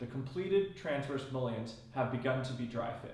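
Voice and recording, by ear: A man speaks at medium pitch and a moderate pace with a slightly mellow tone. There is audible room echo.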